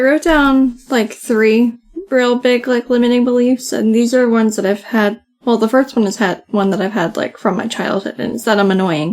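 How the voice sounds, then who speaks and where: A soft-spoken woman talks at a fairly high pitch and a moderate pace. Her pitch varies in an ordinary way. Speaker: podcast co-host. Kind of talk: casual chat. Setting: home recording, late at night.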